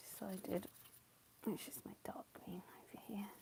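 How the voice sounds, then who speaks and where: Whispering and mumbling, the speaker keeps a relaxed tone. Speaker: watercolour painting livestreamer. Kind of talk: live painting demonstration, casual. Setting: live stream. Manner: relaxed, thinking aloud.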